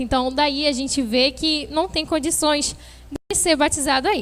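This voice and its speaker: A woman's raised, projected voice carries a bright, sharp tone at a fairly slow pace. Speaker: youth preacher. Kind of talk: sermon. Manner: halting.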